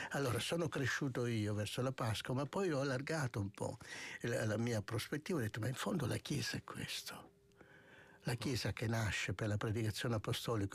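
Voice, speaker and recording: Somewhat breathy male speech at a moderate pace, with ordinary pitch variation, a dry, close sound free of echo, and a very clean recording over a silent background. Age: 60s. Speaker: monk and author. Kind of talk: radio interview. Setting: studio.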